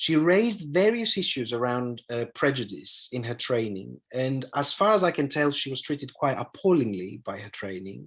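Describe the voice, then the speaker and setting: A man with a Greek accent talks at a moderate pace in a medium pitch, with very wide pitch swings and hardly any pauses. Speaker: analytical psychologist. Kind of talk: lecture. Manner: halting, many fillers and repetitions.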